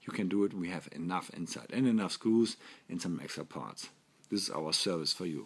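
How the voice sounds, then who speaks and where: A man speaks with a German accent at a moderate pace. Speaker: toy company representative. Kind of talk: product presentation. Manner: halting.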